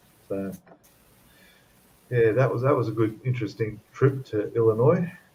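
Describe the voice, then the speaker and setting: With an Australian accent, a man speaks at a moderate pace and medium pitch, his dark, mellow tone somewhat breathy and his pitch variation ordinary. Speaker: model-building livestream co-host. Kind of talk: casual chat.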